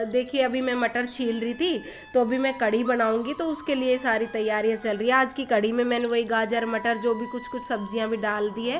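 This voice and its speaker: A woman's high-pitched voice at a moderate pace, with music in the background. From eastern Rajasthan, India. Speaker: housewife vlogger. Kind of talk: casual talk to camera.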